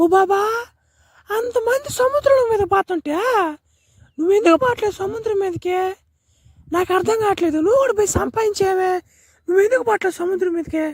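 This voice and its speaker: The cartoonish character voice sits at an extremely high pitch and moves at a moderate pace. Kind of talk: comic spoof dubbing. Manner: rustic coastal village speech.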